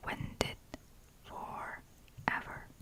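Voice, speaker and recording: A woman is whispering. Noticeable background noise runs underneath. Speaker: ASMR creator. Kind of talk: ASMR book reading. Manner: soft-spoken, whispered.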